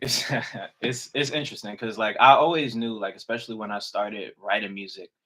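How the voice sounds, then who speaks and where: This man's voice sits at a medium pitch, his tone both bright and sharp as well as relaxed. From North Carolina, born in the Bronx. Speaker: rapper. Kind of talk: podcast interview. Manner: casual, relaxed slang.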